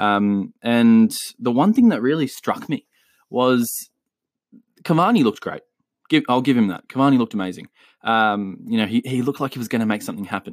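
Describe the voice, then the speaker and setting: A man with an Australian accent at a medium pitch, fairly quick pace and long, frequent pauses, in a very clean recording with a silent background and a dry, close sound with no echo. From Chile. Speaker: football podcast host. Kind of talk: solo podcast commentary. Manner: casual, with frequent filler words.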